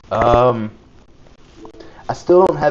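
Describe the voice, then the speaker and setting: Noticeable background noise sits behind a man with an American accent who talks at a moderate pace, medium in pitch and fairly even in intonation. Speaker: card game streamer. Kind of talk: live gameplay commentary. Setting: live stream. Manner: casual, chatty.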